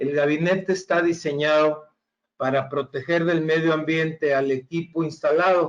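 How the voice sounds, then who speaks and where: Speaking at a very slow pace with a Mexican accent, a man uses a fairly high pitch and fairly even intonation. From Mexico. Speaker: engineer, regional sales manager. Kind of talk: webinar presentation. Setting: online webinar. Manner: hesitant with frequent fillers.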